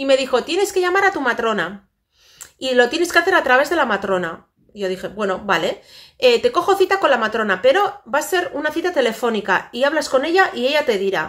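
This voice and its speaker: Against a quiet background, a woman talks fairly quickly in a high pitch with very wide pitch swings. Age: 40s. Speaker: vlogger. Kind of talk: casual chat; casual vlog chat. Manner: halting. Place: home room. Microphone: phone near.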